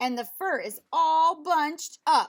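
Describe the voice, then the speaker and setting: Fairly slow, extremely high-pitched put-on character voice from a woman. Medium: read story. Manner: huffy.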